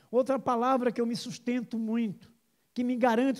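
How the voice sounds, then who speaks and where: This man's voice sits at an extremely high pitch, moving at a moderate pace on a very clean recording with a silent background. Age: 60s. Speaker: pastor. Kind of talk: sermon.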